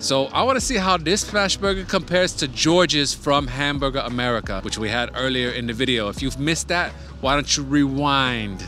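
With faint music playing underneath, a man speaks fairly quickly. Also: hardly any pauses, dry sound with no echo. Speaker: food vlogger. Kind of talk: casual vlog chat. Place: street. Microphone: lapel.

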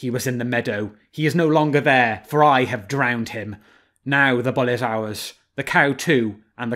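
Reading aloud in a natural voice, the speaker shows ordinary pitch variation over a quiet background.

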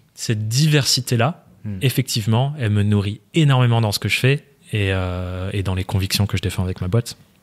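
Against a quiet background, a man talks at a moderate pace with a fairly low pitch and ordinary pitch variation. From France, Dordogne. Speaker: online entrepreneur and trainer; trainer. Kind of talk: interview conversation. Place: studio. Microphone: studio mic.

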